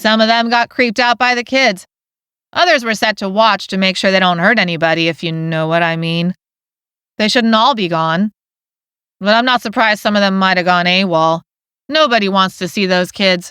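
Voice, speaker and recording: In a put-on character voice, a woman speaks with a raspy, medium-pitched tone, ordinary pitch variation and a moderate pace, the sound dry and close with no echo. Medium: read story. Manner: gruff, offhand.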